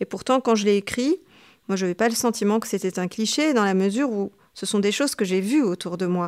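A woman with a medium pitch talks at a fairly quick pace with ordinary pitch variation. The very clean recording has a silent background and a dry, close sound with no echo. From Tunisia, Tunis. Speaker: novelist and literature teacher. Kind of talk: interview. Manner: halting, many hesitations.

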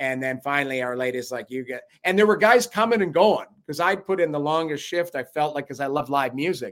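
A man talks at a very fast pace with a Canadian accent. His intonation is lively. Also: fairly high pitch for a man. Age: 50s. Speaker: former NHL goalie and hockey analyst. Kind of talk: casual chat.

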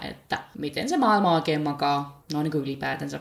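The woman speaks with a very deep, low pitch. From Finland, Päijät-Häme. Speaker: podcast host. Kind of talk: solo podcast monologue. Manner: chatty.

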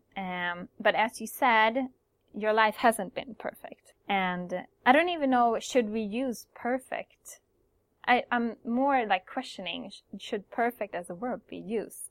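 A woman speaks very slowly in a fairly high voice, with ordinary pitch variation and big swings in loudness. The recording is very clean, dry and close, with a silent background and no echo. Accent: Swedish. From Sweden. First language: Swedish. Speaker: podcast host. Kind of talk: interview. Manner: halting.

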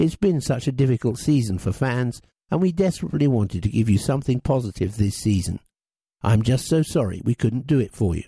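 On a very clean recording with a silent background, a somewhat breathy man talks at a medium pitch and a fairly quick pace with lively intonation. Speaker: audio programme reader. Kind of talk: reading aloud.

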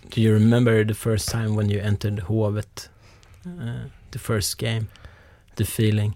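With a Swedish accent, a man speaks in a fairly low, dark, mellow voice at a moderate pace, with ordinary pitch variation and long, frequent pauses. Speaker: podcast host. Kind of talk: interview.

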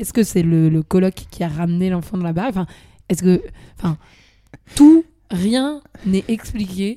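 Speaking at a moderate pace, a woman with medium pitch and a dark, mellow tone uses lively intonation, with long, frequent pauses. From France. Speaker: student podcast guest commenting on exchange stories. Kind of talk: casual chat.

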